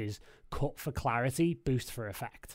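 With a Liverpool accent, a man talks at a moderate pace on a very clean recording with a silent background. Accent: Liverpool (Scouse) English. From Liverpool, England. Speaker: DJ and record label head. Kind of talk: casual chat.

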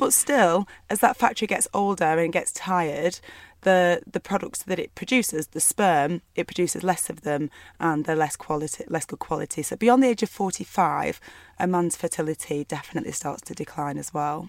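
At a moderate pace and with lively intonation, a speaker talks in a Lancashire accent, the sound dry and close with no echo on a very clean recording with a silent background. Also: woman, fairly low pitch for a woman. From northwest England, Burnley. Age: 30s. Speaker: doctor. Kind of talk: casual chat.

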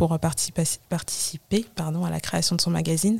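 A woman speaks at a moderate pace in a fairly low, dark, mellow voice. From Paris suburbs (Val-de-Marne, 94), Comorian family. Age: 30s. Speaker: digital collage artist and fashion stylist. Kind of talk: casual interview.

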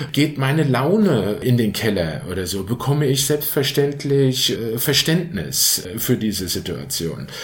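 Audible room echo and noticeable background noise frame a man speaking at a fairly slow pace with hardly any pauses. His pitch swings very widely. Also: medium pitch for a man. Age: 50s. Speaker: patient with rheumatism. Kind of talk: personal testimony. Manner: hesitant with frequent fillers.

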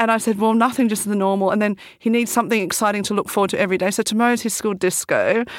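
In an Australian accent, a woman rattles off her words very fast with hardly any pauses, her fairly high voice flat and monotone at a very even loudness. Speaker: entrepreneur, bag designer. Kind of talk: casual interview chat. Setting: studio.

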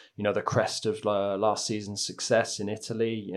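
A man speaks at a moderate pace. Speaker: football journalist. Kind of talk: casual chat. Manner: halting.

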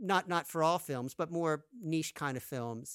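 A man with an American accent has an unremarkable speaking voice at a fairly high pitch, using lively intonation at a moderate pace. The recording is very clean with a silent background and a dry, close sound with no echo. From US, New Jersey. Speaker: film composer and music professor. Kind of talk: interview.

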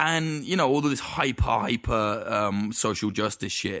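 A man with an East Midlands accent speaks against a quiet background. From East Midlands, England. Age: 20s. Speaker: documentary filmmaker. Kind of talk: casual chat.

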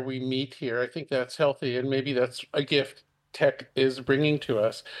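A man with a normal speaking voice, a fairly high pitch and a moderate pace, against a quiet background. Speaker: technologist. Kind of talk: panel discussion.

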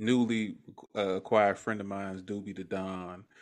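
A man with an American accent talks on a very clean recording against a silent background. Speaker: podcast host. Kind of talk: casual interview.

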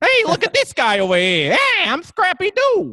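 In a put-on character voice, the speaker talks at an extremely high pitch and a moderate pace. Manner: tough guy.

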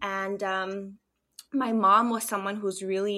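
A woman's normal speaking voice at medium pitch, with fairly even intonation and a moderate pace, on a very clean recording with a silent background. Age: 30s. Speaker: holistic wellness coach. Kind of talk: casual interview.

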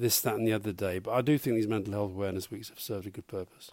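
A man with a southern English accent at a very fast pace. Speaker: former government adviser. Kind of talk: casual chat. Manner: soft-spoken.

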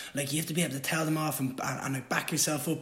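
Talking very fast, a man with an Irish accent and a fairly high pitch shows ordinary pitch variation. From Ireland. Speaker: fighter. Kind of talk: casual chat.

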